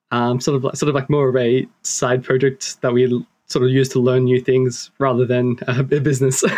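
A man with an Australian accent speaks at a medium pitch and a moderate pace. His intonation is monotone and flat, with very even loudness. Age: 20s. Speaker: engineering student. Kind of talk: interview conversation. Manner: hesitant, many fillers.

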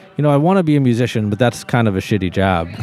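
Against noticeable background noise, a man with an American accent talks at a fairly quick pace in a medium pitch. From Texas, Austin. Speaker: musician (trumpet and keyboard player). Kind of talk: casual chat.

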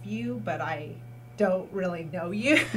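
Background noise is noticeable behind a woman with a Californian accent and a very deep, low pitch. She talks at a fairly slow pace with very wide pitch swings. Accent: Californian American. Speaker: arts community manager. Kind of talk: casual chat. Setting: studio.

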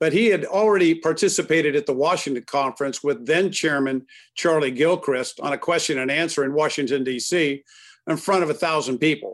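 A man's normal speaking voice, fairly high in pitch and at a fairly quick pace, on a very clean recording with a silent background. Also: ordinary pitch variation. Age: 60s. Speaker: car dealer executive. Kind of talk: interview.

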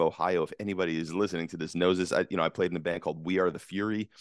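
A man speaks in a very deep, low voice with an American accent and fairly even intonation, the sound dry and close with no echo over a quiet background. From US West Coast. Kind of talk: casual interview. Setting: video call.

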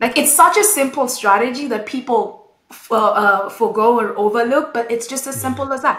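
The speech runs with hardly any pauses and big swings in loudness. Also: woman, high pitch for a woman, ordinary pitch variation, moderate pace. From Kenya. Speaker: retail consultant. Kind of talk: interview.

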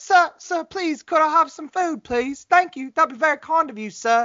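At a moderate pace, the speaker puts on a character voice pitched high. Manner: polite, pleading.

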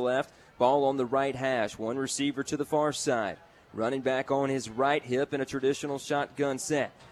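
In a plain, everyday voice, a man with a fairly high pitch talks at a moderate pace. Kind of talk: live play-by-play football commentary. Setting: stadium broadcast booth.

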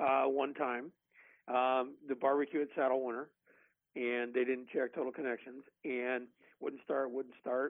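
A normal speaking voice moves at a moderate pace. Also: man. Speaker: barbecue expert. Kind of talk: casual chat.

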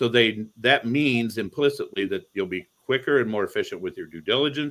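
A man talks at a fairly quick pace. He speaks with an American accent. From Toledo, Ohio, US Midwest. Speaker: real estate investor. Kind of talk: podcast interview.

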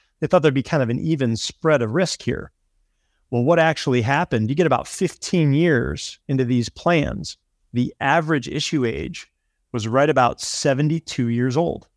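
A man's plain, everyday voice, fairly high in pitch, at a moderate pace, dry and close with no echo on a very clean recording with a silent background. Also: ordinary pitch variation. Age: 40s. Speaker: long-term care planning specialist. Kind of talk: explanatory interview talk.

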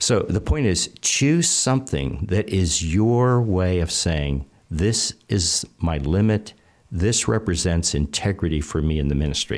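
A man's very deep, low voice at a fairly slow pace, with very even loudness and lively intonation. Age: 70s. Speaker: ministry leader and author. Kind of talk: interview. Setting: studio, in person.

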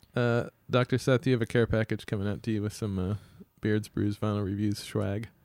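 A man with a normal speaking voice and a fairly low pitch talks at a fairly quick pace with fairly even intonation, in a dry, close sound with no echo. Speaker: podcast co-host. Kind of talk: casual chat. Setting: studio.

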